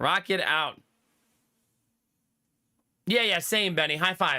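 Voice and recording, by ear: A man's slow, fairly high-pitched voice with a bright, sharp tone and lively intonation, in a very clean recording with a silent background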